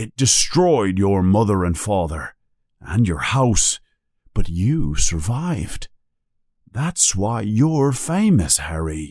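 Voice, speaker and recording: A man performs a put-on character voice at a fairly low pitch and a very slow pace. The recording is very clean, with a silent background. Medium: read story. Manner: blunt, homely, colloquial.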